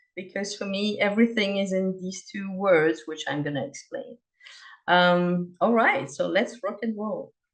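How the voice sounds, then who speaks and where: This speaker talks at a fairly slow pace with an ordinary amount of pitch variation, in a French accent. The loudness swings widely from moment to moment. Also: woman, medium pitch for a woman. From Belgium, Liège (French-speaking). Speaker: cross-cultural consultant, presenter. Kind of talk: presentation.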